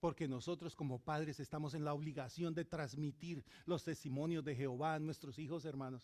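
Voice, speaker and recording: A man's normal speaking voice, fairly high in pitch, at a fairly quick pace with hardly any pauses and fairly even intonation. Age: 60s. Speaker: pastor. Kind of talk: sermon.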